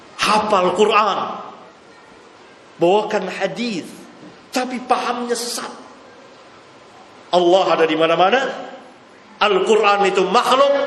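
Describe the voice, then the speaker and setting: Amid noticeable background noise and audible room echo, a man with a high pitch talks at a fairly slow pace, with ordinary pitch variation and long, frequent pauses. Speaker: Islamic preacher. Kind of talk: religious lecture Q&A. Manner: forceful, emphatic.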